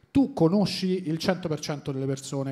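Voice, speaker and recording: Recorded very cleanly against a silent background, a man speaks with a dark, mellow tone and ordinary pitch variation. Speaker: comedian podcast host. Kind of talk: casual chat. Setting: stage with audience.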